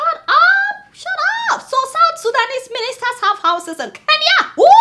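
A raised, projected voice swings very widely in pitch over light background noise. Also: woman. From Nigeria. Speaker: satirical news show host. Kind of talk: comedic news commentary. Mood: outraged, mocking humor. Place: studio.

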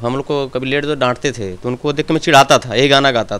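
Speaking in a plain, everyday voice, a man uses a fairly high pitch and fairly even intonation at a moderate pace. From India, Gorakhpur district (eastern Uttar Pradesh), village; Uttar Pradesh, India. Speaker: film actor. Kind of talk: interview. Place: home room. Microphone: handheld.

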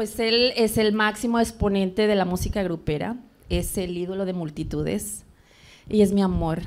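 A woman at a moderate pace, with fairly even intonation. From Monterrey, Nuevo León, Mexico. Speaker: event producer and businesswoman; interview guest. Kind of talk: interview. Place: studio. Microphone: handheld.

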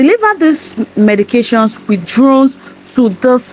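Her pace is moderate and her pitch high for a woman. She uses ordinary pitch variation. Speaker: vlogger. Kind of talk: casual vlog commentary. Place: home room. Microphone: lapel.

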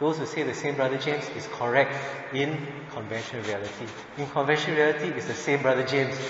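A man with a medium-pitched voice speaks at a very fast pace, with audible room echo and noticeable background noise. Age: 40s. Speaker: Buddhist teacher. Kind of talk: lecture. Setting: temple.

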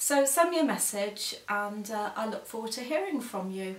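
At a moderate pace, a woman talks with ordinary pitch variation in a room with audible echo. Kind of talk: casual vlog announcement. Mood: warm, earnest. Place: home room. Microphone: camera far.

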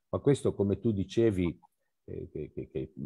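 A man's dark, mellow tone over a quiet background. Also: dry sound with no echo. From Calabria, southern Italy. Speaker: photo magazine organizer. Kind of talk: casual discussion. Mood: warm, appreciative. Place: home room. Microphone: headset.

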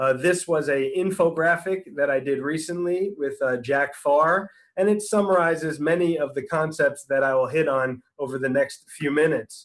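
Against a quiet background, a man with an unremarkable speaking voice talks at a moderate pace and fairly high pitch, using ordinary pitch variation and hardly any pauses. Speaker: orthopedic surgeon; presenter. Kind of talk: lecture. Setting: video call. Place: home room. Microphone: video call.

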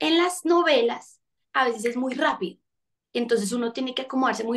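A woman's high-pitched voice with lively intonation and a fairly quick pace, against a quiet background. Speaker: actress and singer; actress. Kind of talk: interview. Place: home room. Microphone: video call.

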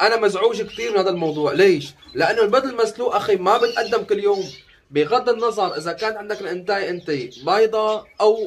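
A man speaks in a high pitch with ordinary pitch variation. His pace is fairly quick, and light background noise can be heard. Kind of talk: casual vlog chat. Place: home room. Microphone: phone near.

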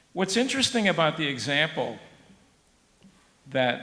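In an American accent, a man with a high pitch speaks at a fairly slow pace with lively intonation, and room echo can be heard. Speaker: professor. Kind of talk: panel discussion. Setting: conference with audience. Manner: halting.

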